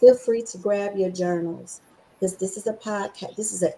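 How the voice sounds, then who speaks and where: A medium-pitched female voice over noticeable background noise. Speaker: podcast host. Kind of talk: casual chat. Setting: live podcast. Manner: animated.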